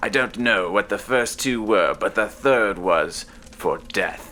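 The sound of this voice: A woman's put-on character voice, extremely low in pitch, with a fairly bright tone, ordinary pitch variation and a slow pace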